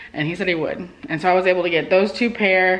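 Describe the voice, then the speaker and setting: Here a woman is speaking. She talks at a fairly quick pace. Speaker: vlogger. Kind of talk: casual vlog chat. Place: home room. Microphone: phone near.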